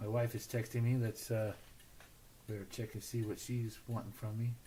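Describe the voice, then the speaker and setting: A man at medium pitch speaks at a moderate pace in a dark, mellow tone that is somewhat breathy, with monotone, flat intonation. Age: 60s. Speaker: slot car builder hosting a livestream. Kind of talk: casual livestream chat.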